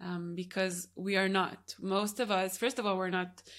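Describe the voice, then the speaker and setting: Heard in a very clean recording with a silent background, a plain, everyday voice moves at a moderate pace with fairly even intonation. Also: woman. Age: 20s. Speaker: podcast host, yoga teacher. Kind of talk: interview conversation. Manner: laughs often.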